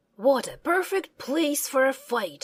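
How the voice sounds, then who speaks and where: A woman performs a put-on character voice in a high pitch. She speaks at a fairly slow pace. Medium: read story. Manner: declaiming, confident.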